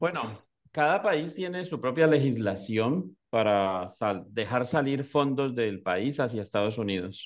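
A man with an ordinary speaking voice talks at a fairly slow pace. His medium pitch carries lively intonation. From Colombia. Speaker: business immigration consultant. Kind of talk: explanatory talk on a live stream. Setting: online live video stream.

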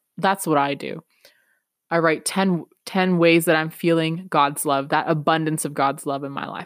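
A woman with a Canadian accent speaks at a moderate pace, her fairly low pitch held in fairly even intonation. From Peru, raised in Canada from age six. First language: Spanish. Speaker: podcast host, self-development coach. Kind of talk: motivational monologue.

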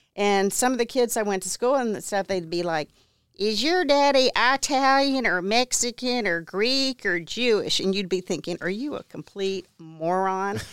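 With an American accent and an unremarkable speaking voice, a woman at a medium pitch speaks at a moderate pace with lively intonation and hardly any pauses, in a very clean recording with a silent background and a dry, close sound with no echo. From Texas. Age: 60s. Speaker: interior designer and real estate investor. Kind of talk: interview. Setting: studio.

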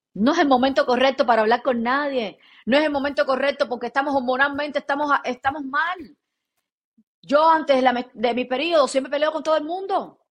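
At a fairly quick pace, a woman speaks in a high voice. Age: 30s. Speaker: podcast co-host. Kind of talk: casual chat. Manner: animated.

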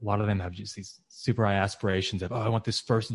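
In a plain, everyday voice, a man speaks at a fairly low pitch with fairly even intonation over a quiet background. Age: 20s. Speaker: real estate investor. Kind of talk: podcast interview.

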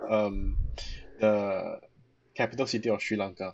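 With a normal speaking voice, the speaker keeps a moderate pace and fairly even intonation. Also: man. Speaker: architectural designer. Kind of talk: casual chat.

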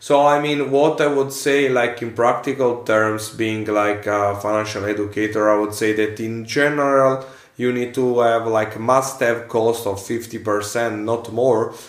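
A man's medium-pitched voice with an Italian accent, fairly slow and with hardly any pauses, in fairly even intonation. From central Italy, near Rome. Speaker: financial analyst and coach. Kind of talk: casual interview in second language.

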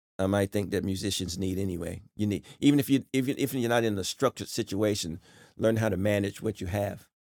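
With an American accent, a man speaks in an unremarkable speaking voice at a fairly low pitch with ordinary pitch variation, on a very clean recording with a silent background. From North Carolina. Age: 50s. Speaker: professional musician. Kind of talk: interview.

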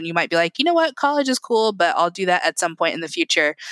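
Over a very clean recording with a silent background, a woman with a Midwestern American accent speaks in a bright, sharp tone, the sound dry and close with no echo. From Indiana, US Midwest. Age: 30s. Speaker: tech customer success manager. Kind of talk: interview.

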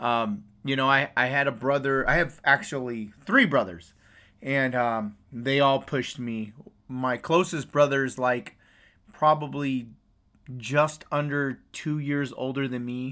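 A man with an American accent speaks loudly at a fairly slow pace in a bright, sharp tone. The recording is very clean, with a silent background. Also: medium pitch for a man. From US West Coast. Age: 40s. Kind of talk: casual chat. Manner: energetic.

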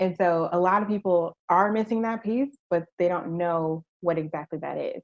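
A woman with an American accent has a plain, everyday voice, fairly low in pitch with ordinary pitch variation. The sound is dry and close, with no echo. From Virginia, US. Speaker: merchandising strategist. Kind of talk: interview.

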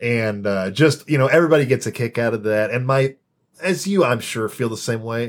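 This is a man with a normal speaking voice and an American accent, talking at a fairly quick pace. His pitch is medium, with ordinary pitch variation. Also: very clean recording, silent background. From US Midwest, Champaign, Illinois. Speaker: amateur stand-up comedian. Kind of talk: casual interview chat.

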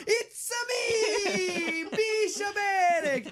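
Over loud background noise, someone shouts in an extremely high pitch, using a put-on character voice with an Italian accent. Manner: playful.

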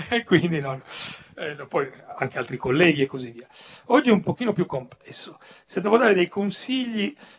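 A man's high-pitched voice at a moderate pace, with very wide pitch swings, big swings in loudness, long and frequent pauses, and noticeable background noise. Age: old. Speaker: comics writer. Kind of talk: panel talk. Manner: halting.

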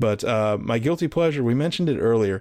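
A man has a plain, everyday voice at a medium pitch. He talks at a fairly quick pace with lively intonation. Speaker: wrestling podcast guest host. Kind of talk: casual chat.

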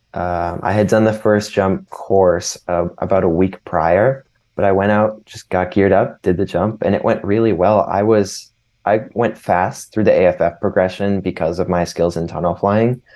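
In a quiet background, a man with an ordinary speaking voice talks at a moderate pace and fairly low pitch, his intonation fairly even. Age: 18. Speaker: student pilot and skydiver. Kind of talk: casual interview.

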